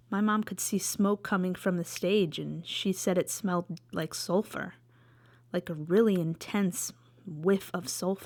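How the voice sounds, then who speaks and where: Here is a woman with a plain, everyday voice at a medium pitch. She talks at a moderate pace with ordinary pitch variation. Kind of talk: storytelling to camera. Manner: casual.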